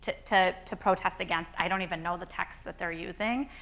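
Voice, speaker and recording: In a very clean recording with a silent background, a woman with an American accent talks at a moderate pace, her medium-pitched voice bright and sharp with ordinary pitch variation. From Chicago. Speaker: rabbi. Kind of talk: lecture Q&A.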